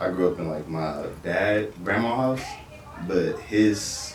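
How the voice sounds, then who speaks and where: Noticeable background noise and audible room echo accompany the recording. A man speaks at a very slow pace. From Los Angeles, Compton. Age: 20s. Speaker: music producer. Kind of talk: casual interview chat.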